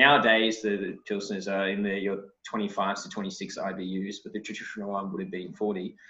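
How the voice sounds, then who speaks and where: At a moderate pace with hardly any pauses, a man with an Australian accent speaks in a fairly low pitch and a monotone, flat intonation. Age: 30s. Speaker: brewer. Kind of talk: casual chat. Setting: video call.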